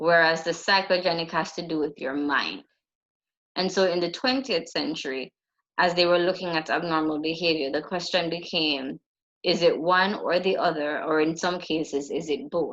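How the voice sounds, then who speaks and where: Her pitch fairly low and its variation ordinary, a woman talks at a moderate pace in an ordinary speaking voice. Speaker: psychology lecturer. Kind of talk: lecture.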